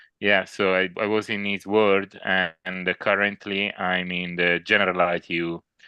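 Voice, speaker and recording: With an Italian accent, a man speaks at a very deep, low pitch and a moderate pace, with hardly any pauses. His intonation is monotone and flat. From Italy. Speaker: doctor. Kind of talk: casual chat.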